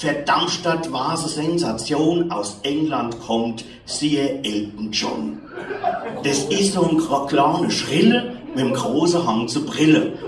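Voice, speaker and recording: A woman speaks very slowly with lively intonation. There is audible room echo and light background noise. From Hesse, Germany. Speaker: poetry slam performer. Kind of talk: poetry slam performance. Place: stage. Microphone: camera far.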